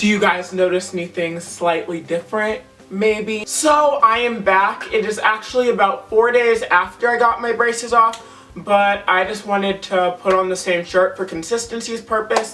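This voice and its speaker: A man with a high pitch uses a raised, projected voice at a moderate pace and ordinary pitch variation. Music plays in the background. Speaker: vlogger. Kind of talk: casual vlog. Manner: chatty, casual.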